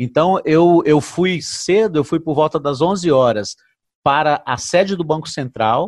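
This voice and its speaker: Over a quiet background, a man talks in a fairly high pitch with ordinary pitch variation. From Brazil, Brasília. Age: 50s. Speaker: retired firefighter and banknote collector. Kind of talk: casual interview. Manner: halting.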